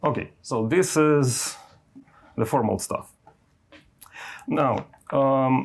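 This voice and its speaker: Speaking very slowly with long, frequent pauses, a man with a non-native accent uses a medium pitch and ordinary pitch variation. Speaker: university lecturer. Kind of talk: lecture. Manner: halting, with fillers.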